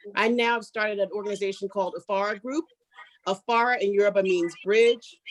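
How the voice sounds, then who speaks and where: A woman with an American accent talks at a moderate pace and a medium pitch in a normal speaking voice. The sound is dry and close with no echo. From US, Philadelphia. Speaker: fashion consultant. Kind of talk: self-introduction on online panel.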